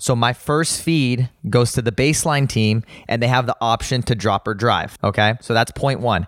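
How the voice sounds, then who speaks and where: Someone with a Southern California accent speaks at a fairly quick pace in an animated tone, with ordinary pitch variation. The recording is very clean, dry and close, with a silent background and no echo. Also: man. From Los Angeles, San Fernando Valley. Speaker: tennis and pickleball coach and pro player. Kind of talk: casual interview.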